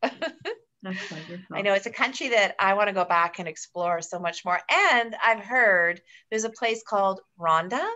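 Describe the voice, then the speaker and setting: At a fairly slow pace, a woman talks at medium pitch with ordinary pitch variation. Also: hardly any pauses. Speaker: travel agency manager; travel agent host. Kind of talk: webinar hosting. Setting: video call. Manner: animated. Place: home room. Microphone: video call.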